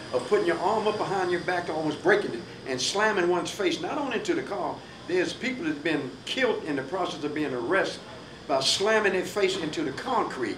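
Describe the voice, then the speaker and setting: Speaking fairly quickly, a man uses a high pitch and lively intonation. Noticeable background noise and audible room echo surround him. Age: 70s. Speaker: radio talk show host. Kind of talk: panel discussion.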